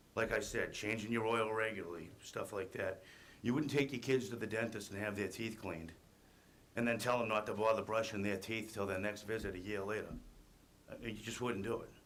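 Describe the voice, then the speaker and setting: In a room with audible echo, a man talks at a fairly quick pace, his fairly low pitch held in fairly even intonation. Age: 40s. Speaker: construction worker. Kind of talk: testimony. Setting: public hearing. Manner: reading prepared statement.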